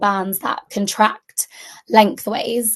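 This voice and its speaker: Someone with a British accent speaks very slowly in a monotone, flat intonation over a quiet background. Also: woman. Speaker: junior doctor teaching medical students. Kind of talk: lecture. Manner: hesitant with many fillers.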